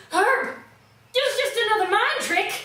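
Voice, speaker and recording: Put on as a character, a female-sounding voice at an extremely high pitch moves at a moderate pace with slight echo. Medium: audio drama.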